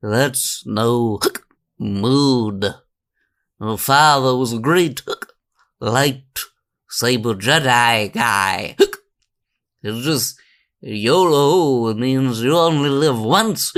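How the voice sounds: A man's put-on character voice at medium pitch, very slow and broken by long, frequent pauses, on a very clean recording with a silent background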